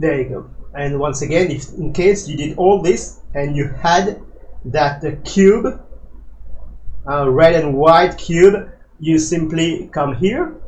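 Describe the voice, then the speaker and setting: The speaker has a non-native accent and talks at a very slow pace. Audible room echo is present. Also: man, fairly high pitch for a man, ordinary pitch variation. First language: not English. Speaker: flight simulator tutorial creator. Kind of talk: tutorial. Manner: hesitant, many fillers.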